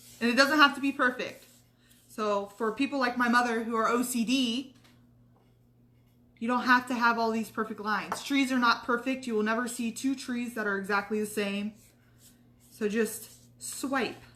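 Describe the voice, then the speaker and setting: Long, frequent pauses break up the moderate pace, with fairly even intonation over noticeable background noise. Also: woman, fairly high pitch for a woman. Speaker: craft tutorial host. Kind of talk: tutorial. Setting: live stream. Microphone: too quiet at first.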